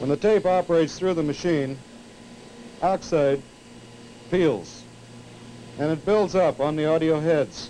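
A man with an American accent talks at a fairly slow pace and a fairly high pitch, with ordinary pitch variation, long and frequent pauses, and light background noise. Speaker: television engineer giving a tour. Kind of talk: vintage training film narration, a guided tour demonstrating equipment to students. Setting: studio tape room, filmed tour. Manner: formal, measured, explanatory; didactic, with occasional 'uh' pauses.

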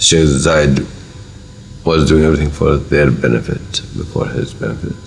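Light background noise sits under a man's voice. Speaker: government minister. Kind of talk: interview answer. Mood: warm, reflective, smiling. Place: office.

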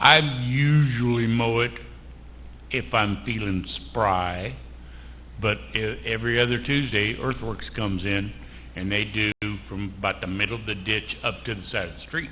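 In a room with audible echo, a man with a fairly low voice and a bright, sharp tone talks at a moderate pace, with ordinary pitch variation and long, frequent pauses. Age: 70s. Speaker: city council member. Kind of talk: council meeting discussion.

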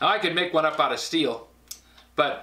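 The speaker is a man. He has a bright, sharp tone. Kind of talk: tutorial. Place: workshop.

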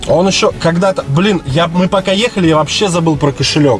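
Clear music plays behind a man who speaks at a moderate pace in a high pitch with ordinary pitch variation. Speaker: taxi driver vlogger. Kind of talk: casual vlog chat. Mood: annoyed, disapproving. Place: car. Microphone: phone near.

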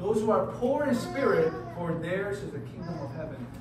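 Over noticeable background noise and audible room echo, a man speaks at a moderate pace. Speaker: youth retreat pastor. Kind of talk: sermon. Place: hall. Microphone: camera far.

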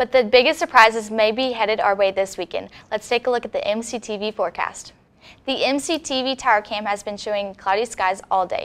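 A woman's plain, everyday voice, fairly high in pitch with ordinary pitch variation, at a moderate pace on a very clean recording with a silent background. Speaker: news anchor. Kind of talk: studio newscast read from a script, with a weather forecast. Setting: studio. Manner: polished, even and formal, in a broadcast delivery.

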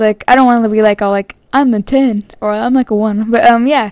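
Using an American accent, a woman with a high pitch and ordinary pitch variation talks at a fairly quick pace in a dry, close sound with no echo. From California. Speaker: gaming YouTuber. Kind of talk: casual Q&A vlog. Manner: hesitant, many fillers.

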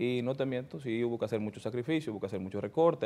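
A man's very fast speech with a dark, mellow tone and ordinary pitch variation. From Dominican Republic, Santo Domingo; Dominican Republic. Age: 30s. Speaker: politician, newly elected congressman; politician guest. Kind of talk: interview. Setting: studio. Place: studio. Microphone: lapel.

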